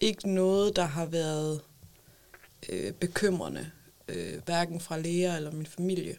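A woman speaks very slowly in a fairly low voice, with fairly even intonation and long, frequent pauses. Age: 20s. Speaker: mother with a psychiatric diagnosis. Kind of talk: casual chat. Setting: studio.

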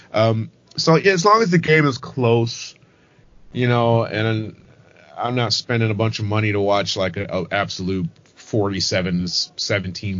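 With an American accent, a man speaks in an unremarkable speaking voice at a fairly low pitch. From Michigan, suburban Detroit. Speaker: podcast co-host. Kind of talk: casual chat.

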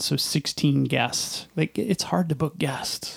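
There is vocal fry as a man speaks at a very slow pace. The sound is dry and close, with no echo. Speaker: podcast host. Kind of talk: casual interview. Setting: studio.

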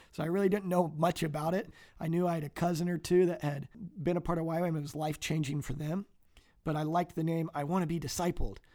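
In an American accent, a man talks at a very fast pace with a high pitch, a dark, mellow tone and fairly even intonation. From US Midwest. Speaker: missionary. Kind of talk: interview. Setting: studio.

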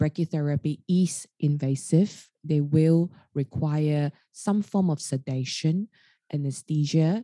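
Speaking very slowly in an Australian accent, a woman has a very deep, low pitch, ordinary pitch variation and a dark, mellow tone, recorded against a quiet background with a dry, close sound and no echo. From Australia, Sydney. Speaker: radiation oncologist. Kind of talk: casual interview.

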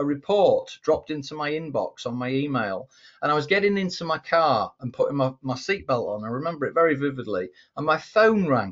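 Speaking at a fairly quick pace with an English accent, a man uses lively intonation and a fairly high pitch. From England. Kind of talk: casual chat.

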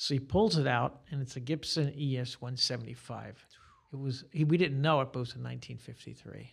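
Somewhat breathy, a man talks at a fairly quick pace and a medium pitch. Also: ordinary pitch variation. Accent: American. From Staten Island, New York. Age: 60s. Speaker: guitarist and guitar teacher. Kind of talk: casual interview chat. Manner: talkative.

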